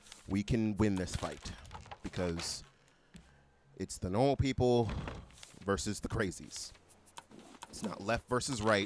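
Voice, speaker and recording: Over noticeable background noise, a man with a fairly low pitch and ordinary pitch variation speaks at a fairly slow pace, leaving long, frequent pauses. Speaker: commentary youtuber. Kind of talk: political rant to camera. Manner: animated.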